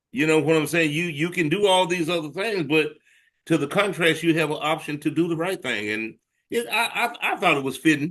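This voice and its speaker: With a Southern US accent, the speaker talks at a fairly quick pace with ordinary pitch variation against a quiet background. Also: man. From US South, Arkansas. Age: 60s. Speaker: blues musician. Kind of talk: interview.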